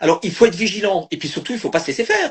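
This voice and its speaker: A man's voice with lively intonation. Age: 60s. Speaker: live stream host and family caregiver. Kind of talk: live stream conversation. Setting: online live video stream. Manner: halting, many repetitions and fillers.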